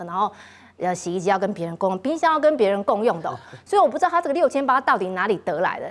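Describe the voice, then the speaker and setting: A woman talks with very wide pitch swings. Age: middle-aged. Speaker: TV talk show host. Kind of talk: political talk show hosting.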